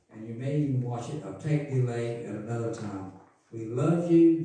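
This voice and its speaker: Audible echo fills the room. A man talks with ordinary variation in pitch. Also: big swings in loudness. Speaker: pastor. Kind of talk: sermon. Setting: church. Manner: loud.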